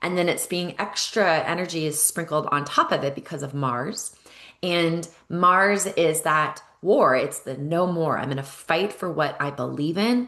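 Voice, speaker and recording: A woman's fairly low voice, bright and sharp in tone, animated, with ordinary pitch variation at a fairly slow pace. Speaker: EFT coach and spiritual guide. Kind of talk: guided ceremony talk.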